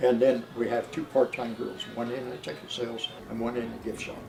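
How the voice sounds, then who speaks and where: A man speaks at a moderate pace and a medium pitch. His loudness swings widely, and background noise is noticeable. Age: 80s+. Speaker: railroad volunteer. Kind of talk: interview. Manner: halting.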